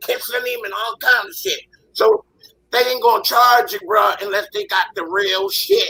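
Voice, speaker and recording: Raised and projected, a man's voice at an extremely high pitch carries an animated tone and very wide pitch swings. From West Philadelphia. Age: 60s. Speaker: panelist. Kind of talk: heated debate.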